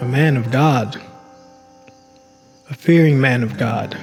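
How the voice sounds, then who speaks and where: With music in the background, a man speaks very slowly at a medium pitch with fairly even intonation. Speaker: voice actor. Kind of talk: storytelling in the voice of an old frontier-era man recounting events. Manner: slow, deliberate, with long pauses.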